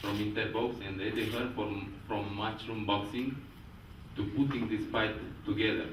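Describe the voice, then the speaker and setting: Over noticeable background noise and audible room echo, a man with a Romanian accent speaks with a fairly low pitch and monotone, flat intonation. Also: moderate pace. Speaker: professional boxer. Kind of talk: press conference speech.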